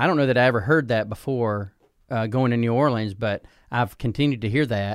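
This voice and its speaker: A man with a Southern US accent talks fairly quickly at a medium pitch, with ordinary pitch variation, on a very clean recording with a silent background. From US Deep South (Alabama, Georgia). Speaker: pastor. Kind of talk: casual interview.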